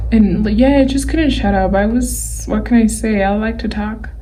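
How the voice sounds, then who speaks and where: Audible room echo hangs around the woman as she talks. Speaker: digital artist. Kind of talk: tutorial. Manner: slow.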